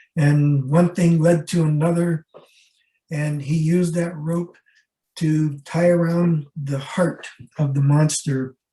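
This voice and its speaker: A man's fairly high, somewhat breathy voice with a dark, mellow tone, very slow and flat in a monotone. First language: Rarámuri and Mayo. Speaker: ethnobotanist and scholar. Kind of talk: lecture.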